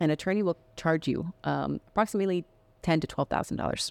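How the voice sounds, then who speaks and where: A woman with an ordinary speaking voice talks at a fairly quick pace in a fairly low pitch. The recording is very clean with a silent background, dry and close with no echo. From Miami, Florida (born in Colombia). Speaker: nonprofit executive director and urban planner. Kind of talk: interview.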